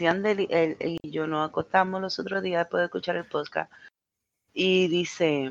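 A woman speaks with a Puerto Rican accent at a moderate pace, her pitch fairly low. Her intonation stays fairly even, and the sound is dry and close with no echo. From Puerto Rico, Mayagüez. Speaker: podcast co-host. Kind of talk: casual chat.

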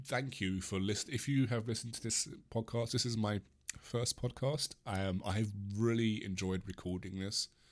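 This man, with an English accent, talks at a fairly slow pace and a fairly low pitch, with fairly even intonation, in a very clean recording with a silent background. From England. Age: 20s. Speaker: podcast host. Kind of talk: solo rant podcast, casual. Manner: rambling, hesitant, laughs often.

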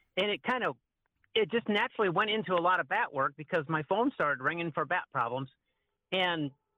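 A man's high voice swings very widely in pitch. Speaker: wildlife control guest, bat removal. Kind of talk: casual interview chat, storytelling.

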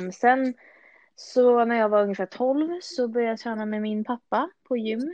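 A woman talks in a high pitch with ordinary pitch variation. Her pace is moderate. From Stockholm, Sweden. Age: 20s. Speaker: fitness enthusiast. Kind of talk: podcast interview.

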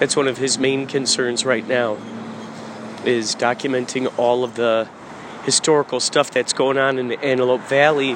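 Over noticeable background noise, a man talks at a moderate pace. His medium-pitched voice has a monotone, flat intonation. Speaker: podcaster and musician. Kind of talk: stream-of-consciousness monologue. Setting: out running errands, grocery store. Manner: loud; halting.

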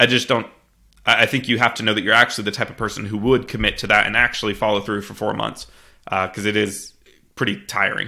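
On a very clean recording with a silent background, a man with an American accent speaks at a very fast pace in a fairly low pitch, his tone bright and sharp, his intonation fairly even, with vocal fry. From US Midwest (Missouri). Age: 20s. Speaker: real estate investor and software founder. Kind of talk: interview. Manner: frequent fillers and restarts.

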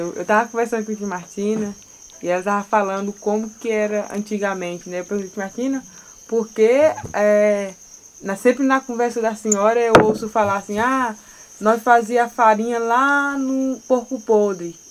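A woman speaks at a moderate pace in a fairly high voice. Her intonation stays fairly even over noticeable background noise. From Brazil, Tocantins (Jalapão, quilombo Mumbuca). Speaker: podcast host, journalism student and artisan. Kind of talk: scripted narration.

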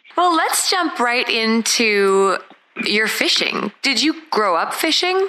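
A woman speaks at a very slow pace and high pitch, with very wide pitch swings. Her loudness stays very even, with noticeable background noise. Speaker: podcast host. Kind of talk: interview.

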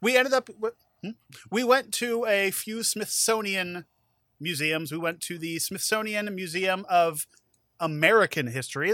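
A raised, projected voice with a bright, sharp tone sounds playful and has lively intonation. The recording is very clean and dry, close with no echo and a silent background. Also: man. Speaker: podcast host and judge. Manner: joking, playful.

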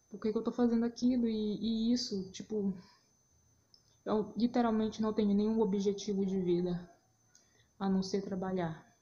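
A woman speaks at a moderate pace and fairly high pitch, somewhat breathy, with a dark, mellow tone. Her intonation is monotone and flat, broken by long, frequent pauses. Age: 20s. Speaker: podcaster, journalist. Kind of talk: casual solo monologue. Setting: at home, recording on phone at 4am. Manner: unscripted, rambling. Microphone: phone recording.

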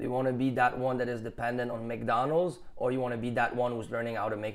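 At a very fast pace, a man of medium pitch talks with a Quebec accent. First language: French. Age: 30s. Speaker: muralist and painter. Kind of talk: casual interview. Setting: at an art exhibition.

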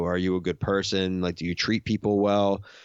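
The delivery is monotone, with flat intonation, at a moderate pace. The speaker has an American accent. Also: man. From Philadelphia, US. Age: 30s. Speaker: podcaster. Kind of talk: casual chat.

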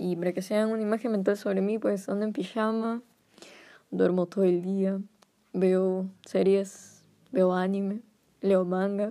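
A woman's dark, mellow, medium-pitched voice, monotone and flat, at a fairly slow pace with long, frequent pauses. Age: 20s. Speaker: podcast host. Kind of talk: casual monologue. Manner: hesitant.

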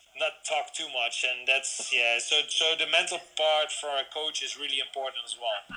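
A man with a Dutch accent talks at a moderate pace with hardly any pauses. Noticeable background noise runs behind him. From Netherlands. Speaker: BMX coach. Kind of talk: interview. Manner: halting.

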